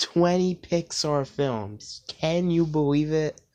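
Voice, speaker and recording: This man's voice is fairly high-pitched, set against a quiet background. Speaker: YouTuber. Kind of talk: casual video commentary.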